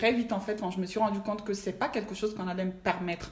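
A woman's very fast, monotone, flat delivery amid noticeable background noise. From Mali. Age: 20s. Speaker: finance professional. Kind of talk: casual chat.

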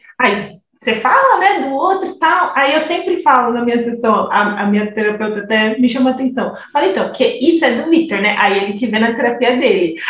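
Over noticeable background noise and audible room echo, a woman with a high voice talks at a fairly quick pace with hardly any pauses and very wide pitch swings. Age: 20s. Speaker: psychologist. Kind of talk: casual chat.

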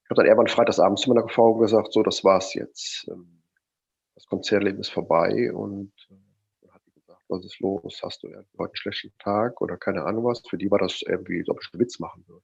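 Big swings in loudness from a man speaking at a fairly quick pace. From Rhineland, near Cologne. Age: 50s. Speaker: mindset and motivation coach. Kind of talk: interview.

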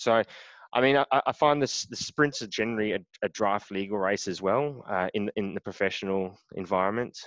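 Heard over a quiet background, a man speaks at a fairly quick pace with fairly low pitch and ordinary pitch variation. The sound is dry and close, with no echo. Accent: Australian. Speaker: triathlete. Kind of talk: casual interview. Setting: remote call.

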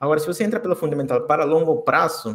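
Fairly quick speech with a Spanish accent and lively intonation. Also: man. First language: Spanish (speaking Portuguese). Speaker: crypto community ambassador. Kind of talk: podcast interview.

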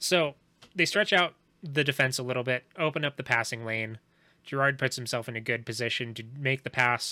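The voice has a bright, sharp tone and moves at a fairly quick pace. The sound is dry and close, with no echo. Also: man, medium pitch for a man. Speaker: podcast host. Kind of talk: casual hockey game recap, bantering and sweary, not live play-by-play. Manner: deadpan, sarcastic, dry jokes.

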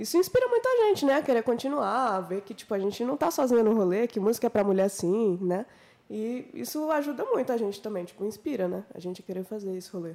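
Speaking at a very fast pace, a woman with a fairly high pitch and a dark, mellow tone uses lively intonation. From Minas Gerais, Brazil. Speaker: singer and guitarist. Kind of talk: casual chat.

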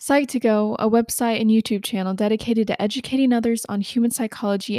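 Very fast speech from a woman with an American accent, fairly high in pitch, on a very clean recording with a silent background and a dry, close sound with no echo. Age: 20s. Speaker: podcast host. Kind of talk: solo self-help podcast monologue. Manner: occasional stumbles and self-corrections.

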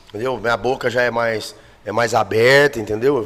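A man talks at a moderate speed over noticeable background noise. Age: 40s. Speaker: dance teacher and singer. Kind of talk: casual chat.

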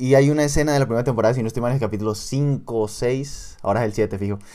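The speaker has an ordinary speaking voice and fairly even intonation. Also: man. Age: 20s. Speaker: podcast co-host, university student. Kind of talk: casual chat.

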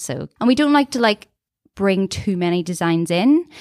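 A woman with a Northern Irish accent speaks at a moderate pace in a dry, close sound with no echo, on a very clean recording with a silent background. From Northern Ireland. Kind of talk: casual chat. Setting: studio.

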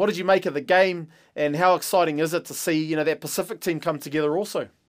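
In a New Zealand accent, a man talks very fast at a high pitch with fairly even intonation. The recording is very clean, with a silent background. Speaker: podcast host, former rugby player. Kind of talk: casual chat.

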